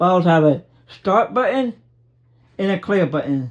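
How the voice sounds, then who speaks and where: A man's high-pitched voice over a quiet background. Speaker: blind YouTuber. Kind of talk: casual home tour vlog. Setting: walking around home, filmed on phone. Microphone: phone recording.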